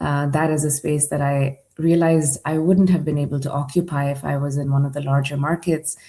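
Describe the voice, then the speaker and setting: Her very deep, low pitch comes with a dark, mellow tone and a somewhat breathy quality as this woman speaks at a moderate pace in a monotone, flat intonation. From Dubai, UAE (Indian family). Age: 40s. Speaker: startup accelerator leader and conference speaker. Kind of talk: conference presentation.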